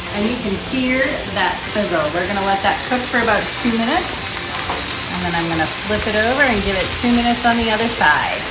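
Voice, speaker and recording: A woman talking at a very fast pace with ordinary pitch variation over loud background noise. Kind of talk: cooking demo tutorial. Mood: friendly upbeat. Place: kitchen. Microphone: camera far.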